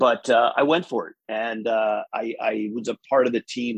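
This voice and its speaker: Recorded with a dry, close sound and no echo, a man with an American accent has an unremarkable speaking voice, a medium pitch and a moderate pace. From New York state, US. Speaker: business executive guest. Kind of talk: casual interview conversation. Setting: video call.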